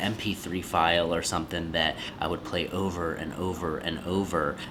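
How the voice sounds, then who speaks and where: A soft-spoken man talks at a moderate pace in a very deep, low voice. Noticeable background noise runs under him. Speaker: podcast coach and creator. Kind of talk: casual vlog talk.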